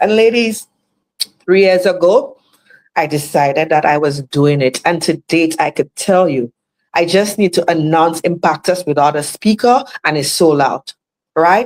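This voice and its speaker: Fairly slow speech with ordinary pitch variation in a Caribbean accent. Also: woman. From Saint Lucia. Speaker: motivational speaker. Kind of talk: motivational talk. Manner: animated.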